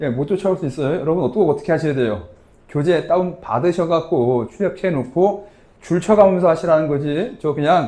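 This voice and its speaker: A man mumbles at a fairly quick pace in a high pitch with a dark, mellow tone. His pitch varies in an ordinary way. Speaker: tax lecturer. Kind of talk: lecture. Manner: casual conversational.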